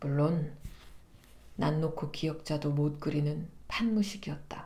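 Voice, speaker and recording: The voice is warm and soothing in tone, dark and mellow, and somewhat breathy. It moves at a very slow pace with fairly even intonation. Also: woman, very deep, low pitch for a woman. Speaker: voice actor. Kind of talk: literary narration reading of a novel. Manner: soft, warm, soothing.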